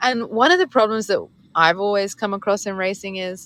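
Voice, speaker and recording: Against a quiet background, a woman with an English accent and medium pitch speaks at a moderate pace with ordinary pitch variation. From England. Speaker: racing driver. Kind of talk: interview. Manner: animated.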